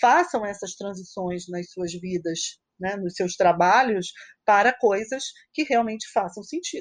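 A woman's fairly high voice, a normal speaking voice, with lively intonation at a fairly slow pace, dry and close with no echo, against a quiet background. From Niterói, Brazil. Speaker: mathematics professor. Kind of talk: casual chat.

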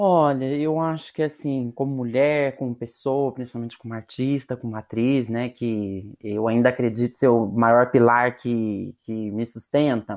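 Over a quiet background, a woman with a very deep, low voice speaks at a fairly slow pace with hardly any pauses and ordinary pitch variation. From interior of São Paulo state, Brazil. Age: 30s. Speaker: actress. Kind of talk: podcast interview.

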